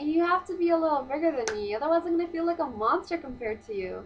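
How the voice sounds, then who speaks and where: Loud and high-pitched, a woman's voice makes very wide pitch swings. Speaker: vlogger. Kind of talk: casual vlog monologue. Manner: fast.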